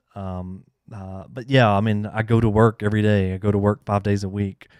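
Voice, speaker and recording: On a very clean recording with a silent background, a man talks at a fairly quick pace and fairly low pitch, flat and monotone, with big swings in loudness. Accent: strong Southern US. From US South. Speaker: YouTuber answering console hacking questions. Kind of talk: live Q&A stream. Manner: casual, many fillers.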